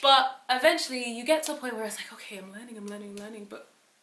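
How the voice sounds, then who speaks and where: Talking very fast in an animated tone, a woman with a fairly high voice uses ordinary pitch variation, and room echo is audible. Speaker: YouTuber, aspiring software developer. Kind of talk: casual vlog monologue.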